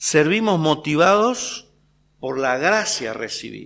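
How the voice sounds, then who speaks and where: Very wide pitch swings in a Rioplatense accent, on a very clean recording with a silent background. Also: man. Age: 60s. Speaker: preacher. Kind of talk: sermon. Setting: church.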